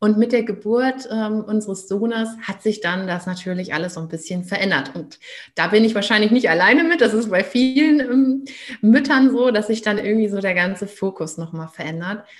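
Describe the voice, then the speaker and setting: A woman's somewhat breathy, fairly high voice with lively intonation at a moderate pace. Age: 30s. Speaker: parenting coach. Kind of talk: interview.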